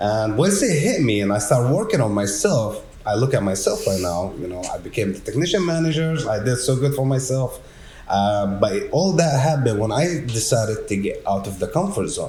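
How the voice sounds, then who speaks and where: A man of medium pitch speaks at a moderate pace with very wide pitch swings, heard through audible room echo and noticeable background noise. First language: not English. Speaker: technician manager at a garage door company. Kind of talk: casual podcast conversation.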